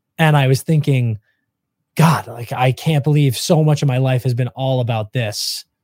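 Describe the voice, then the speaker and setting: This man's voice is somewhat breathy, with a medium pitch. His intonation stays fairly even. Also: moderate pace. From Maine. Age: 30s. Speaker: hockey podcast host. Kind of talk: casual interview.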